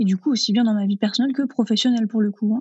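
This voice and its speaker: A woman with a normal speaking voice has a fairly high pitch and ordinary pitch variation. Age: 30s. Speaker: vegan cooking content creator and trainer. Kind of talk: interview.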